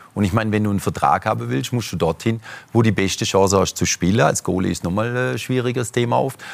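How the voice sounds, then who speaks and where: Speaking fairly quickly in a normal speaking voice, a man with fairly low pitch uses lively intonation. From German-Swiss border region. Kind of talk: talk show discussion.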